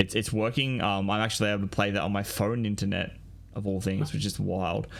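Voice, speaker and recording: Fairly quick and fairly low-pitched, a man with an Australian accent keeps his intonation fairly even. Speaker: podcaster. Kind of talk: casual chat. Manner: halting, many fillers.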